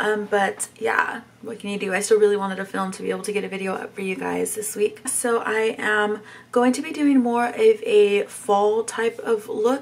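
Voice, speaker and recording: A woman talks at a moderate pace in a fairly high voice with fairly even intonation and big swings in loudness. Noticeable background noise runs underneath. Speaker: beauty YouTuber. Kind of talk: casual makeup tutorial talk to camera.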